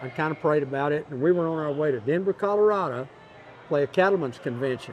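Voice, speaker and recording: This man talks fairly quickly with a West Texas accent. His pitch is fairly high, with ordinary variation. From Texas, Big Spring. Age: 70s. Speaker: Western swing musician. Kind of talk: casual interview.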